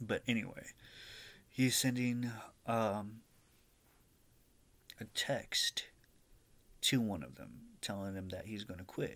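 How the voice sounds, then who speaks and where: The speaker goes very slowly, with long, frequent pauses, big swings in loudness and ordinary pitch variation. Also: man. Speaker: vlogger. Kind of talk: casual vlog chat. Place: home room. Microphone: webcam.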